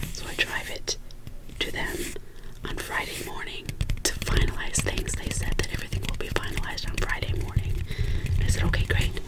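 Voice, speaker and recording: Someone whispers at a fairly quick pace, broken by long, frequent pauses, over noticeable background noise. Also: woman. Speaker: ASMR creator. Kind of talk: whispered personal rambling. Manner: whispered.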